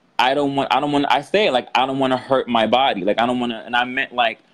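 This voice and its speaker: A man speaks at a fairly quick pace with a medium-pitched voice. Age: 30s. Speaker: reality TV contestant. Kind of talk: interview. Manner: casual, animated.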